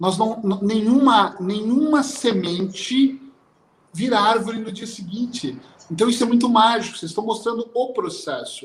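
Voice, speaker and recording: High-pitched male speech at a moderate pace with ordinary pitch variation. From Brazil. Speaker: hypnotherapist. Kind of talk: panel discussion closing remarks.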